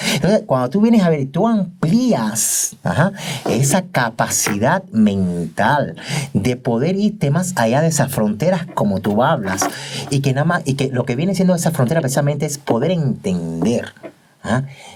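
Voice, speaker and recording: A man's pitch swings very widely as he talks fairly slowly, with noticeable noise behind him. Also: fairly high pitch for a man. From Cuba. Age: 50s. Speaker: doctor and teacher. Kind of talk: interview testimony.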